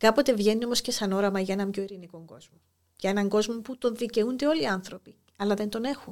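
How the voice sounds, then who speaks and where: A woman talks at a very fast pace with a fairly high pitch. Her pitch varies in an ordinary way. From Cyprus, Famagusta. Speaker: school inspector and poet. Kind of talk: interview.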